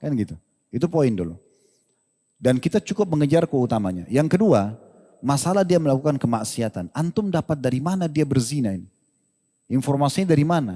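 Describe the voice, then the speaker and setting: Over a very clean, silent background, a man talks at a fairly quick pace and a fairly high pitch. His tone is dark and mellow, with very wide pitch swings. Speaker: Islamic preacher answering questions. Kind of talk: religious lecture and Q&A answer.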